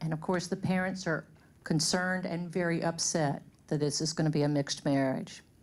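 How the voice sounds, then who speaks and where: A woman's voice with a Louisiana accent, fairly low in pitch, with fairly even intonation. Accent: Southern US (Louisiana). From US South, Shreveport, Louisiana. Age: 60s. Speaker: community speaker. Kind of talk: personal testimony to an audience.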